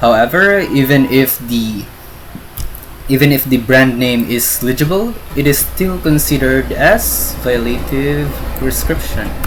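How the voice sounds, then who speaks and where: Against noticeable background noise, the voice moves along at a fairly slow pace. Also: man. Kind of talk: educational lecture presentation. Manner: hesitant, stuttering, non-fluent English.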